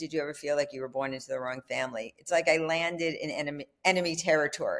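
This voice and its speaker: Woman's fairly low-pitched voice with a New York accent. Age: 70s. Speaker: filmmaker and author. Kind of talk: interview conversation.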